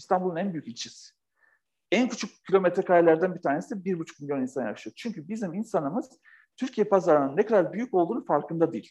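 This man's high voice races along at a very fast clip, its intonation lively. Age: 40s. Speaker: author and company founder. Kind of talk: interview conversation. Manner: animated.

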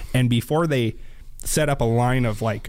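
Medium-pitched man with an American accent. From northeast Washington state. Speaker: diesel shop employee, truck builder. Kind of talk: casual chat.

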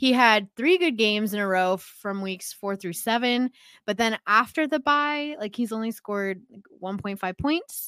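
A loud woman's voice, bright and sharp, with lively intonation at a moderate pace on a very clean recording with a silent background. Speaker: fantasy football podcast co-host. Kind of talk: casual chat.

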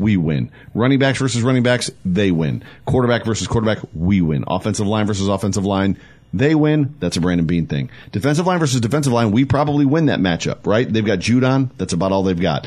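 Talking very fast, a man with an American accent uses a fairly low voice with very wide pitch swings. His loudness stays very even. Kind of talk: casual sports talk. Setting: studio.

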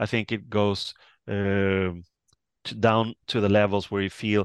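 Against a quiet background, a man speaks at a fairly low pitch in a dry, close sound with no echo. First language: not English. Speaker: author and lecturer on occult culture. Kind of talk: interview. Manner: hesitant, many filler words.

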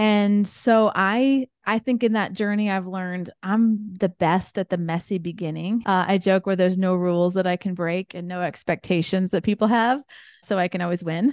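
A woman speaks at medium pitch and a moderate pace. Her intonation stays fairly even. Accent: Midwestern American. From US Midwest, rural Indiana. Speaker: entrepreneur. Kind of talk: interview.

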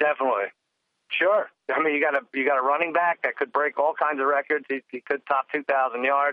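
Using a normal speaking voice, a man talks fairly quickly at a fairly high pitch with fairly even intonation. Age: 40s. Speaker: sports podcast co-guest, football bettor. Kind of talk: casual chat.

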